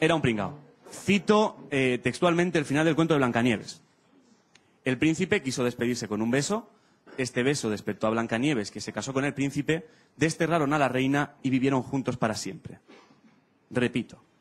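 A man talks at a moderate pace with ordinary pitch variation. His pauses are long and frequent. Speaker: stand-up comedian. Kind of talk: stand-up comedy monologue. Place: stage. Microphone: handheld.

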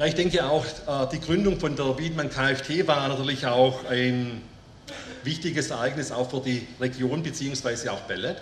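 The speech comes at a fairly slow pace with ordinary pitch variation, audible room echo and light background noise. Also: man, fairly high pitch for a man. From Germany. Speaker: company owner. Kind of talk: formal speech. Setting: company jubilee event with audience. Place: tent. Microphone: podium.

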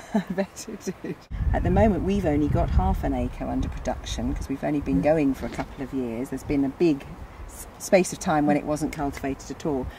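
There is noticeable background noise as a woman talks at a fairly quick pace in a dry sound with no echo. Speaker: head gardener. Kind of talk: interviewer questions. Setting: outdoors. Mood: warm, enthusiastic. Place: garden.

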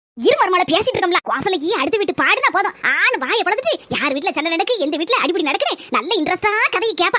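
This cartoonish character voice leaps through very wide pitch swings. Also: woman, extremely high pitch for a woman, fairly quick pace. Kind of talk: cartoon comedy acting. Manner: chatty, gossipy.

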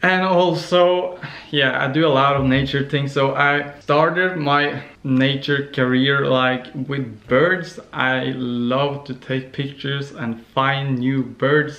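A man's fairly high voice with a Norwegian accent, very slow in pace, with ordinary pitch variation and audible room echo. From Norway. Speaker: vlogger. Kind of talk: casual vlog. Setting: on the couch. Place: home room. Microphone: phone near.

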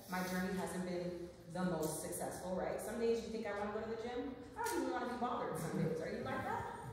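Over noticeable background noise and strong room echo, a woman talks at a very fast pace. Her pitch varies in an ordinary way. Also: medium pitch for a woman. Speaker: nurse practitioner and wellness speaker. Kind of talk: live talk to an audience. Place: meeting room. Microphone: camera far.

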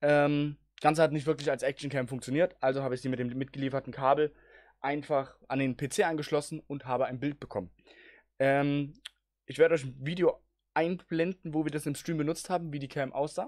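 Keeping his intonation fairly even, a man talks at a fairly quick pace. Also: quiet background. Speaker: gaming streamer. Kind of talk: tutorial. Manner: casual, with many filler sounds. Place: home room. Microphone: speaks very close to the mic, with pop filter; studio mic.

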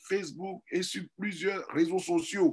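His voice is high, with ordinary pitch variation. The man speaks at a very slow pace. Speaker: network marketing leader. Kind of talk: sales pitch.

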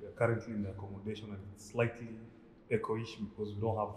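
Fairly low-pitched man at a fairly quick pace, with light background noise and audible room echo. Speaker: vlogger. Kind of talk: casual vlog chat. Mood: relaxed, smiling. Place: home room. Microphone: phone near.

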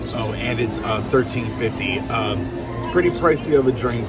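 A man talks at a moderate pace with ordinary pitch variation, his voice dry with no echo over loud background music. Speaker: theme park vlogger. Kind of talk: casual vlog chat.

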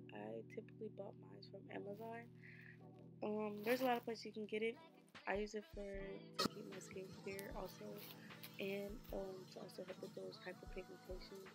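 Over loud background music, a woman speaks at a moderate pace with long, frequent pauses. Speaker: beauty vlogger. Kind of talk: casual vlog chat.

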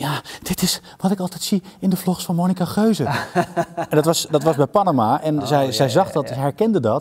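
A somewhat breathy man speaks at a very fast pace. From Netherlands. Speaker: TV director and voice actor. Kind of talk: interview answer. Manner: enthusiastic. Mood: relaxed, reflective. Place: stage. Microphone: lapel.

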